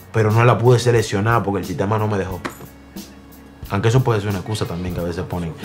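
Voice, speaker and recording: Very fast male speech, fairly low in pitch with fairly even intonation, over clear music in the background. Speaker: interviewee. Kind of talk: interview answer. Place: home room.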